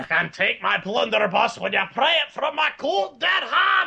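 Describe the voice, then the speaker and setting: Shouting in a put-on character voice, a man pushes his pitch high. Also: moderate pace. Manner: defiant.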